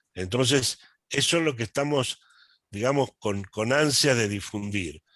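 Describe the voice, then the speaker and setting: This man has a medium pitch and lively intonation, speaking fairly slowly in a dry, close sound with no echo. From Argentina. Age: 70s. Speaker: accountant and lay church movement speaker. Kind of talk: talk at online meeting. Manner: halting, many fillers and repetitions.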